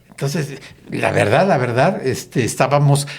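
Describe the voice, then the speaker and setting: A man talks at a moderate pace, somewhat breathy. His pitch varies in an ordinary way. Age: 70s. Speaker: politician. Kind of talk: podcast discussion.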